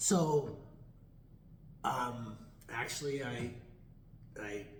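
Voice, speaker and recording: Somewhat breathy, this voice has ordinary pitch variation and audible room echo. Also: man, medium pitch for a man. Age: 60s. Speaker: chiropractor and student in animal chiropractic course. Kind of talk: interview, telling his story. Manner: halting, many fillers and restarts.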